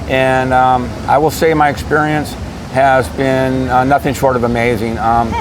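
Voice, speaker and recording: Amid noticeable background noise and audible room echo, a man speaks at a fairly slow pace and medium pitch with fairly even intonation and very even loudness. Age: 60s. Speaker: interviewee. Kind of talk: interview. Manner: halting.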